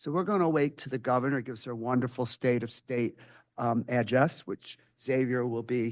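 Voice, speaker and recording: A man with an American accent at medium pitch and a moderate pace, against a quiet background. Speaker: school board member. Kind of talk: committee report at board meeting. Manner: loud.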